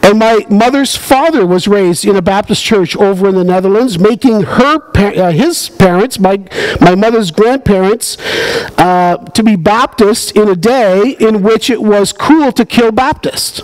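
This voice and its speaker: A man's high-pitched voice at a fairly slow pace, with ordinary pitch variation and very even loudness. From Canada, Ontario. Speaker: pastor. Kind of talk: sermon. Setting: church. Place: church. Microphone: headset.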